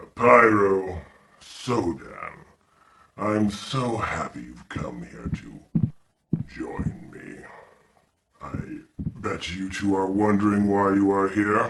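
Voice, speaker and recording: Doing a put-on character voice, a man talks at a very slow pace, with long, frequent pauses. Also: fairly low pitch for a man. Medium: audio drama. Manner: silky, menacing.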